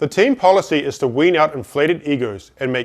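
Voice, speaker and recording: A man with a New Zealand accent speaks with lively intonation. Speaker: business speaker. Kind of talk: motivational talk.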